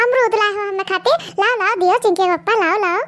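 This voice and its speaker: Squeaky and extremely high in pitch, a woman rattles along at a very fast pace in a cartoonish character voice. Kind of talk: rustic comic cartoon dialogue. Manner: loud, quarrelsome.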